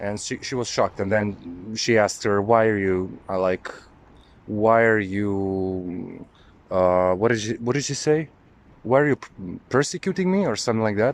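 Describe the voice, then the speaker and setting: The pitch of this man's voice shifts in an ordinary way. He keeps a moderate pace. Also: fairly low pitch for a man. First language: not English. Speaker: occult spiritual video maker. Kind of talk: personal testimony monologue. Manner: halting, with many fillers.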